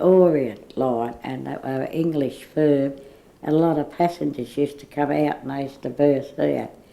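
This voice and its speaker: In an Australian accent, a woman speaks fairly slowly with a dark, mellow tone. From Woolloomooloo, Sydney, Australia. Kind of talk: oral history interview answer.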